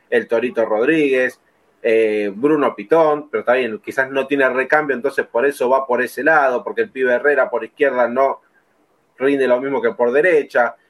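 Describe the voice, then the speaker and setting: An ordinary speaking voice from a man, medium in pitch, at a moderate pace with ordinary pitch variation. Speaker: football podcast host. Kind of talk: casual chat.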